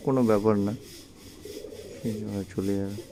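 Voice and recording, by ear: The voice has a dark, mellow tone, keeps a fairly even intonation and goes at a fairly quick pace. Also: man, fairly low pitch for a man.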